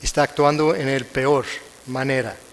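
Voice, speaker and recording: Noticeable background noise sits behind a man with an American accent whose fairly high voice stays monotone and flat. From United States. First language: English (speaking Spanish). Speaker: conference speaker, prosecutor. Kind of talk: lecture. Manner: halting, self-correcting.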